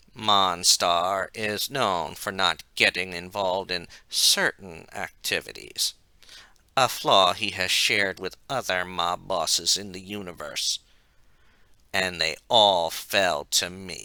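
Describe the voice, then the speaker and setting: Someone performs a put-on character voice at a fairly slow pace with fairly even intonation. Hissing is audible on a very clean recording with a silent background. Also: man, very deep, low pitch for a man. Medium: read story. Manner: menacing, hissing.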